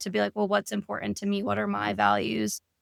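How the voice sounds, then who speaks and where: A woman in a dry, close sound with no echo, very clean recording and silent background. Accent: American. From New York. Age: 30s. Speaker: therapist and life coach. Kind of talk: podcast interview.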